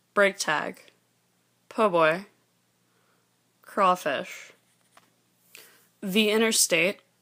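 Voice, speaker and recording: A woman's medium-pitched, bright and sharp voice at a very slow pace, with fairly even intonation, long, frequent pauses, and a very clean recording over a silent background. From Louisiana, New Orleans area. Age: 20s. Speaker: student. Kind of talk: informal presentation on dialect words. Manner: hesitant, with frequent fillers.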